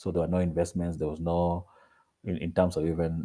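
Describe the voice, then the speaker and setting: Very deep and low, a man's voice carries a dark, mellow tone. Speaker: mental health advocate. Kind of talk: online presentation. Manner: halting, many repetitions; quiet.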